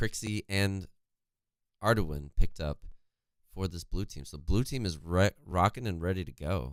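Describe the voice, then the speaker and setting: Speaking at a moderate pace in a very deep, low pitch, a man leaves long, frequent pauses, and his loudness swings widely. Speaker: esports caster. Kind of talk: live commentary. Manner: halting.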